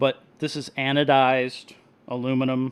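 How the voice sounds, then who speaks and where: Soft-spoken and medium-pitched, a man talks. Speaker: reef hobbyist live streamer. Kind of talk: live stream chat and product review. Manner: casual, animated.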